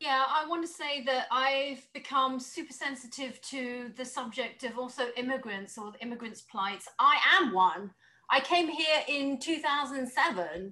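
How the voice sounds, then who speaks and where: Projecting a raised voice at a fairly slow pace, a woman with a British accent speaks at a high pitch with ordinary pitch variation and big swings in loudness. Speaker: panelist. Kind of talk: panel discussion.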